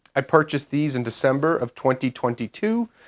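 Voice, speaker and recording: A man with a New York accent speaks with lively intonation and a fairly high pitch. The recording is very clean and the background silent. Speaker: homesteading YouTuber and product reviewer. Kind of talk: product review.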